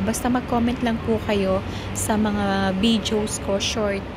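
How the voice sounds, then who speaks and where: A woman is speaking with noticeable background noise. Audible room echo surrounds her voice. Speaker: OFW vlogger. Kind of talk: casual vlog talk with shout-outs. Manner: louder than usual.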